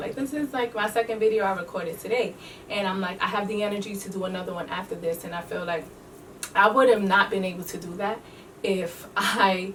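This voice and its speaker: A woman with a New York accent talks fairly quickly at a medium pitch, her intonation fairly even, against noticeable background noise. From New York City. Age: 20s. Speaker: beauty entrepreneur and teacher. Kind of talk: casual talk to camera.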